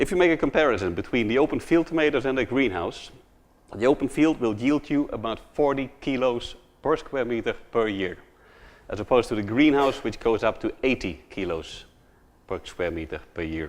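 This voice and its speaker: Using lively intonation, a man speaks at a medium pitch with vocal fry. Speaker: horticulture entrepreneur. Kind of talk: conference talk. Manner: fast.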